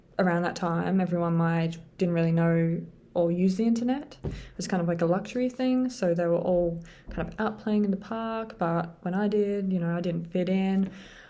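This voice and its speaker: The tone is dark and mellow, with ordinary pitch variation. Delivery moves at a moderate pace. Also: woman, fairly low pitch for a woman. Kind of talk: casual talk to camera. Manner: hesitant, many filler sounds.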